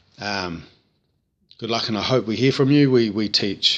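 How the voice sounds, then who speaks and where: In a New Zealand accent, a man speaks at a fairly slow pace with a bright, sharp tone. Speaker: vocal tutor. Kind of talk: tutorial. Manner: casual, hesitant with frequent 'um'.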